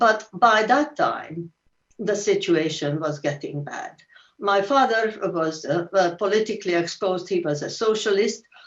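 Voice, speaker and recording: With a Hungarian accent, a woman speaks fairly slowly at a medium pitch, her intonation lively. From Hungary. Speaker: Holocaust survivor. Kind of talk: testimony. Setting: video call.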